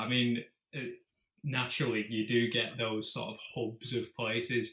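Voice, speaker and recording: A man talks at a fairly slow pace in a British accent. His tone is bright and sharp. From UK. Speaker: fingerboarder. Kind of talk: casual interview chat.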